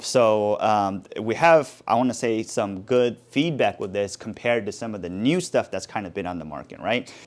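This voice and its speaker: Heard in a very clean recording with a silent background, a man talks with lively intonation and hardly any pauses. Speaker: DIY tool YouTuber. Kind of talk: tool review talk to camera. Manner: fast; casual, halting with fillers.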